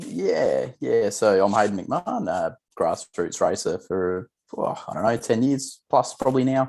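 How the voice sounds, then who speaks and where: Here is a man with an Australian accent speaking at a fairly slow pace. The recording is very clean, with a silent background. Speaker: grassroots racer and video maker. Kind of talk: casual chat.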